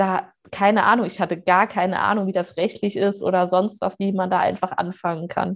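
At a moderate pace and medium pitch, a woman talks in a monotone, flat intonation with hardly any pauses. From Saarland, Germany. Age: 20s. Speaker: weight-loss coach. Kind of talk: casual interview.

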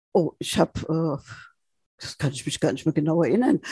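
A woman's dark, mellow tone at a fairly quick pace, in a dry, close sound with no echo. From Frankfurt, Germany. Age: 70s. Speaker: senior citizens' council chair. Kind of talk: interview. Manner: lively.

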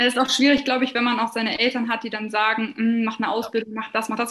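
A woman talks at a very fast pace in a high pitch. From Lower Saxony, Germany (near Hannover). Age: 20s. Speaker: social media agency owner. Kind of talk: client testimonial interview.

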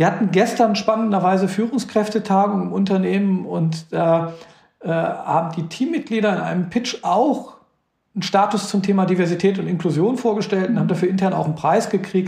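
Talking fairly quickly, a man uses a high pitch. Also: ordinary pitch variation. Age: 50s. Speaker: company CEO. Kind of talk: interview.

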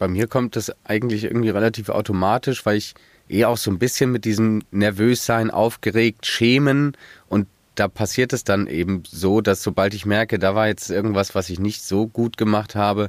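A man with a normal speaking voice and a fairly low pitch talks at a moderate pace in a dry, close sound with no echo, on a very clean recording with a silent background. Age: 20s. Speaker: student, construction site worker. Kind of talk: casual interview.

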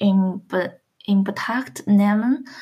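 A woman of medium pitch speaks at a very slow pace with a Chinese accent. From China, Shandong province. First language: Chinese (speaking German). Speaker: student. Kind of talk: interview. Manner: halting.

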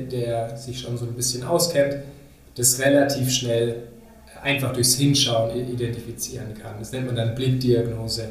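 A man speaks with fairly even intonation. Audible room echo and noticeable background noise fill the recording. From Munich, Bavaria. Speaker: dermatologist, podcast co-host. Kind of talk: educational conversation. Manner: hesitant, with fillers.

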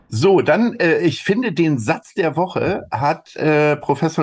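The voice has vocal fry. Its pitch swings very widely. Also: man. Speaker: podcast co-host, agency managing director. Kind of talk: casual chat.

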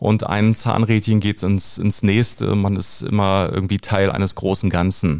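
A man delivers his words in a flat monotone at a fairly slow pace, with hardly any pauses. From Berlin (Köpenick), former East Germany. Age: 40s. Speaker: actor. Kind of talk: casual interview. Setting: small studio. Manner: hesitant with many fillers.

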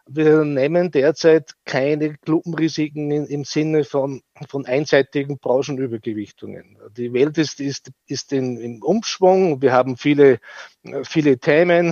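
Speaking very slowly, a man keeps a fairly high pitch with fairly even intonation. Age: 50s. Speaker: fund manager. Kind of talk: interview. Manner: halting, repeats words.

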